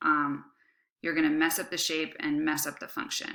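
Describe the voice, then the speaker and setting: Recorded very cleanly against a silent background, a woman speaks with a bright, sharp tone at a fairly low pitch. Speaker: high school biology teacher. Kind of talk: lecture. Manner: casual, many fillers.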